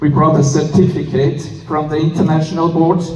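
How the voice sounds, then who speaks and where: A man's fairly high voice comes through with monotone, flat intonation. Noticeable background noise and audible room echo fill the recording. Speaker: president of international police association. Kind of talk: conference speech. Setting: stage with audience. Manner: halting.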